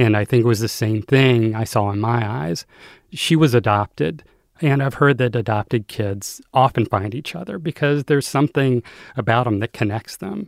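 A man with a normal speaking voice and medium pitch, lively intonation and a moderate pace, on a very clean recording with a silent background and a dry, close sound with no echo. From US South, North Carolina. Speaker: memoir author. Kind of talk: interview.

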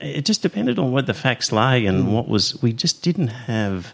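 A man speaks with an Australian accent at a moderate pace. His pitch is medium and his intonation is lively. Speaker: podcast host. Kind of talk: casual panel discussion and interview. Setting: studio, recorded with live stream.

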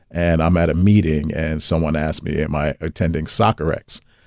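A man with a New York accent at a moderate pace, dry and close with no echo, in a very clean recording with a silent background. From US, New York (Brooklyn). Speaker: venture capital investor. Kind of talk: interview.

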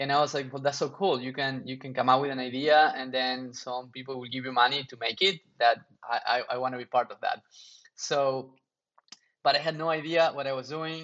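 A man with a Spanish accent talks at a fairly quick pace, his loudness swinging widely. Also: medium pitch for a man. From Argentina. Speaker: startup founder. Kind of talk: interview.

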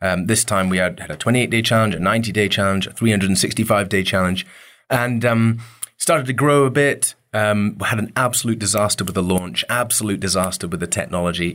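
Talking at a very fast pace in a Scottish accent, a man has a fairly low pitch with ordinary pitch variation, in a very clean recording with a silent background. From Scotland, Isle of Mull. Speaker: entrepreneur, company co-founder. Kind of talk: interview.

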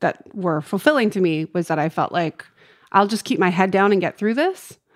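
In a very clean recording with a silent background, a woman with a plain, everyday voice speaks at a moderate pace, medium pitch and ordinary pitch variation. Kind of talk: casual chat.

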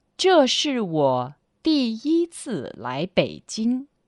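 A woman speaks with a Chinese accent, her voice dry and close with no echo against a quiet background. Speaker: Chinese language teacher on radio. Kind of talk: language lesson.

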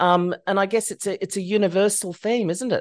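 The speaker has an Australian accent and ordinary pitch variation. The background is quiet. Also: woman. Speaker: psychologist and podcast host. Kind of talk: interview; scripted disclaimer.

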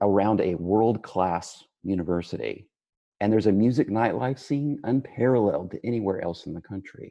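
Lively intonation marks a man's speech at a moderate pace. He has an ordinary speaking voice at a medium pitch. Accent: American. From West Texas. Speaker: architect. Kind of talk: interview.

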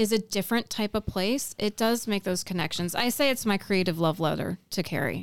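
A woman with an American accent talks at a fairly quick pace and medium pitch, with ordinary pitch variation. The recording is very clean, with a silent background and a dry, close sound with no echo. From Pennsylvania and western New York, US. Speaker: artist and educator. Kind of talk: casual interview chat.

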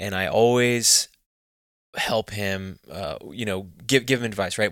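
Recorded very cleanly with a silent background, a man with a fairly low, bright and sharp voice talks in a Texan accent with fairly even intonation. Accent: Texan American. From Texas. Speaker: hunting magazine co-founder. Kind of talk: interview. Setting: office.

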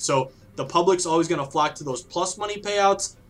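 A man with an American accent keeps a moderate pace while music plays behind him. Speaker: sports betting author. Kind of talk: podcast interview.

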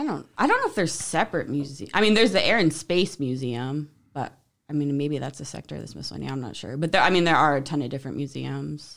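Very fast and full of vocal fry, a woman speaks with a very deep, low pitch, lively intonation and big swings in loudness. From Central New Jersey. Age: 30s. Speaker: podcast guest. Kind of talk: casual chat.

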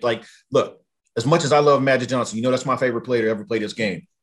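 Talking at a very fast pace, a man with an American accent keeps a medium pitch. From Southern California. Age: 40s. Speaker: sports podcaster. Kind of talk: casual sports talk chat. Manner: halting, many fillers and repetitions.

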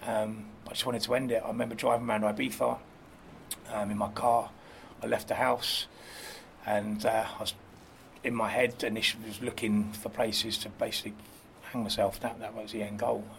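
A man's medium-pitched, monotone voice with flat intonation, a fairly quick pace, and long, frequent pauses. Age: 30s. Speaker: club promoter. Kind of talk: casual chat. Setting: outdoors.

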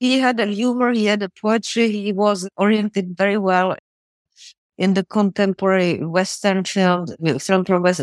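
A woman with a Czech accent and fairly even intonation. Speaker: film historian and biographer. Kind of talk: interview.

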